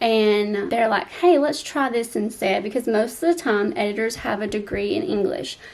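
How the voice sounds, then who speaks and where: A woman with a Southern US accent, fairly high in pitch, with very wide pitch swings at a moderate pace. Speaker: romance author and YouTuber. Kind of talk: advice vlog. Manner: casual with filler ums.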